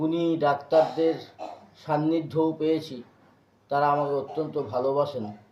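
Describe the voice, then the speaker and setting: Here a man speaks with a fairly high pitch. His intonation is monotone and flat. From West Bengal, Purba Bardhaman district. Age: 40s. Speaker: social worker. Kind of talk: interview testimony.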